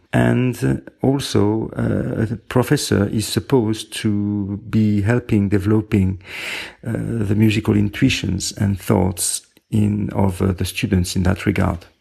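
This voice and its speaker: A man with a French accent speaks at a very slow pace and very even loudness. His dark, mellow tone sits fairly low in pitch. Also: ordinary pitch variation. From France. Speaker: composer and music professor. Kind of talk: interview. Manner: halting.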